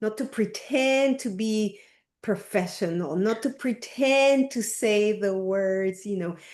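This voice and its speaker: A woman's medium-pitched voice in a Spanish accent, very slow in pace, with ordinary pitch variation, against a quiet background. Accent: Spanish-speaker. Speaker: coaching group facilitator. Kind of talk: group discussion on video call.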